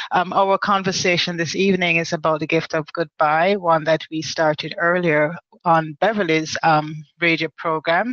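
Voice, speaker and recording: A woman talks with a Jamaican accent. Her pitch sits fairly low. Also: fairly even intonation, moderate pace. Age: 50s. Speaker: online talk show host, women's group founder. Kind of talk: casual live-stream monologue. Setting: live video chat. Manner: halting, many fillers and repetitions.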